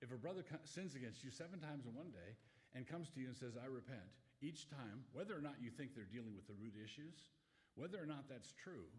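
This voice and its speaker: A man speaks at a fairly quick pace with a medium pitch, lively intonation and a somewhat breathy voice, with audible room echo. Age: 70s. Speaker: pastor. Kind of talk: Q&A talk to an audience. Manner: halting, self-correcting.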